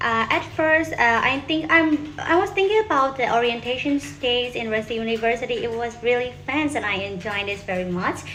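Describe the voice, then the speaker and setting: A woman's high voice in a Burmese accent, very wide pitch swings and hardly any pauses, with audible room echo and noticeable background noise. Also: moderate pace. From Myanmar. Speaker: university student. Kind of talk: self-introduction video. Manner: halting.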